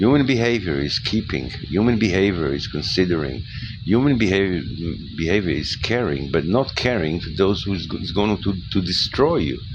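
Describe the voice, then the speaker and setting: Over noticeable background noise, a man with a non-native accent speaks at a moderate pace, his pitch swinging very widely. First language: not English. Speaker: spiritual lecturer. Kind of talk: monologue talk. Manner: halting, with many repetitions.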